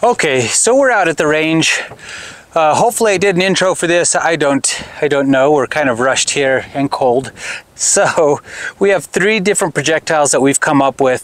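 In a dry recording with no echo, a man speaks at a moderate pace with lively intonation. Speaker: shooting hobbyist host. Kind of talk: casual explanatory vlog chat. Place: open country. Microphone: lapel.

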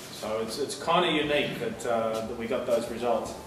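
A man talks at a moderate pace over noticeable background noise, with audible room echo. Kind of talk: informal talk to a tasting group. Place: shop. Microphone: camera far.

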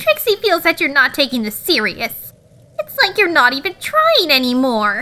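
A female-sounding, put-on character voice sits high in pitch for a woman. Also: moderate pace. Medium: fan dub. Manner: haughty, refers to herself in third person, impatient.

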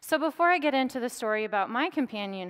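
Against a quiet background, a woman with an American accent talks at a fairly quick pace with lively intonation. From Oklahoma, US. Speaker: academic lecturer. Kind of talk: public lecture. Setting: stage with live audience. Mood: calm, earnest storytelling. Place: stage.

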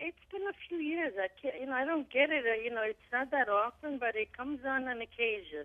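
A woman with an American accent talks at a high pitch with lively intonation. She keeps a fairly quick pace with hardly any pauses. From New York. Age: 60s. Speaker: caller. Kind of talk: call-in question. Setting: phone call.

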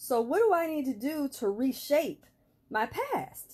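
A woman with lively intonation at a fairly slow pace. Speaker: self-improvement vlogger. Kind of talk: casual vlog chat. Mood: warm, motivational. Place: home room. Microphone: phone near.

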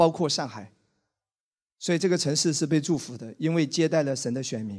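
Fairly quick speech from a man with a fairly high pitch and ordinary pitch variation, in a quiet background. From Wenzhou, China; China. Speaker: pastor. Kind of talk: sermon. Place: church. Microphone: handheld.

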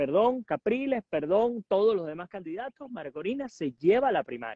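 A man at a moderate pace, dry with no echo, over a quiet background. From Venezuela, Puerto Ordaz; Venezuela. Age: 40s. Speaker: journalist and political analyst; journalist, political analyst. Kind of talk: interview. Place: garden. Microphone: earbuds.

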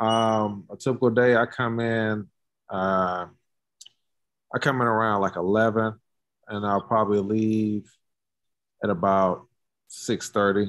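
Over a quiet background, a man with an American accent speaks at a fairly low pitch in a flat monotone, very slowly and with long, frequent pauses, the sound dry with no echo. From Durham, North Carolina; North Carolina. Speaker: sculptor, curator and art professor; art professor. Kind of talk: casual interview. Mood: relaxed, friendly. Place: workshop. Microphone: video call.

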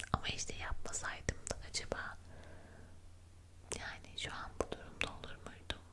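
Fairly slow whispered speech amid noticeable background noise. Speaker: ASMR creator. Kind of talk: ASMR chat, would-you-rather questions. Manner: soft-spoken.

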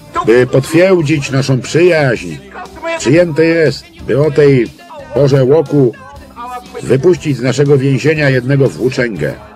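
Over clear music in the background, a man talks at a fairly slow pace with a fairly high pitch, ordinary pitch variation and very even loudness, the sound dry with no echo. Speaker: film voice-over lector. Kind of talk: film voice-over translation reading. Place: booth. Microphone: studio mic.

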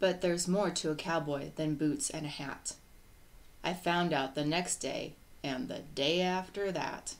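A woman with a low pitch speaks at a fairly slow pace amid audible room echo. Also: fairly even intonation.

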